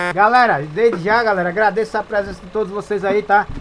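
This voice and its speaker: There is noticeable noise in the background. The speaker moves at a fairly quick pace. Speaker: gaming live streamer. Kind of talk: live gameplay stream chat. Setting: voice chat over Discord during live stream. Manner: animated.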